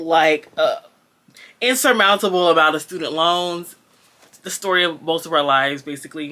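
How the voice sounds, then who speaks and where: Leaving long, frequent pauses, a woman talks at a moderate pace in a fairly low, bright and sharp voice with ordinary pitch variation. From Jamaica. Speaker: book vlogger. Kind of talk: casual book review vlog. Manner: hesitant, many fillers.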